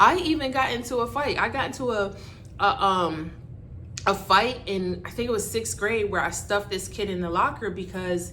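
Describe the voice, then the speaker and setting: In an American accent, a woman speaks with lively intonation at a moderate pace. Noticeable background noise is present. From Barbados. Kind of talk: casual talk to camera.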